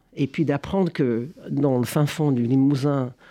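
Fairly high male voice with a dark, mellow tone and ordinary pitch variation, over a quiet background. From United States. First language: English (speaking French). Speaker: history professor. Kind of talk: interview. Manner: halting.

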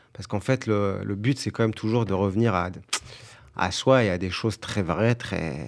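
The recording is very clean, with a silent background. A man talks at a moderate pace with fairly low pitch and ordinary pitch variation. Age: 30s. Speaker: actor and musician. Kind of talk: interview.

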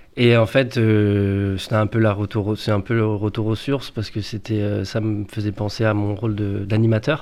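In a very clean recording with a silent background, a man with a fairly low voice speaks in a flat monotone with hardly any pauses. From Paris suburbs, France. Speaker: youth educator. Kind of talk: radio interview. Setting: radio studio. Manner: halting.

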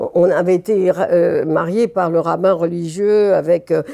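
Her fairly low, dark and mellow voice moves very slowly, with fairly even intonation, as the woman speaks. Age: 80s+. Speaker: retired scientist and activist. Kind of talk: interview testimony.

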